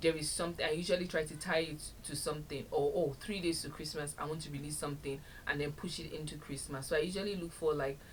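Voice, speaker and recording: A woman speaks at a very fast pace in a very deep, low voice, her intonation fairly even, with audible room echo around her. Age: 30s. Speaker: podcast host. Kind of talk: solo podcast talk.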